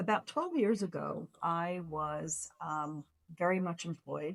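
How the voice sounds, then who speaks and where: A woman speaks in an unremarkable speaking voice at a fairly low pitch, with fairly even intonation. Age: 60s. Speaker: lifestyle vlogger. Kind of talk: casual storytelling to camera. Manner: chatty, with many fillers.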